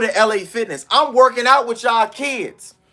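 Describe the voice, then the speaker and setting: Pitched extremely high, a man's raised, projected voice carries a bright, sharp and animated tone. He moves at a moderate pace with ordinary pitch variation. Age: 30s. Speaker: fitness coach. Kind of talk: live stream talk.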